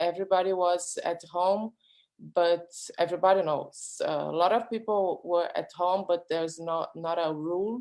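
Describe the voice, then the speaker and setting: In a very clean recording with a silent background, a woman with a Brazilian accent talks at a fairly low pitch, a moderate pace and fairly even intonation. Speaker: artist. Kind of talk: panel discussion. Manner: halting.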